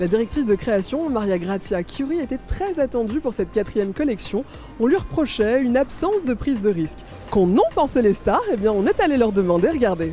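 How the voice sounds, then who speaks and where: Music plays behind a woman with a fairly high pitch. She talks at a fairly quick pace with very wide pitch swings. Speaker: TV presenter. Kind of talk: TV morning news presenter read.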